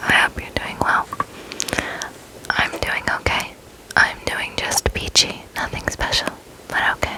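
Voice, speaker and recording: Whispering, a woman speaks at a fairly slow pace with long, frequent pauses. Noticeable background noise is present. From Arizona. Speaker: ASMR creator. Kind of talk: ASMR casual rambling to camera. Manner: whispered.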